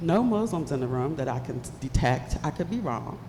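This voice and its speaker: Animated and at a moderate pace, the speaker uses an American accent with very wide pitch swings, with noticeable background noise and audible room echo. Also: woman. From West Virginia (Bluefield), US Appalachia. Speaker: keynote speaker. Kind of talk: keynote speech. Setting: stage with audience.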